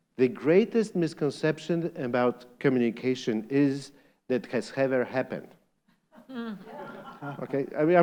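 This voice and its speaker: A man with a Polish accent speaks at a fairly slow pace, leaving long, frequent pauses. His fairly high voice has lively intonation. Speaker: lecturer.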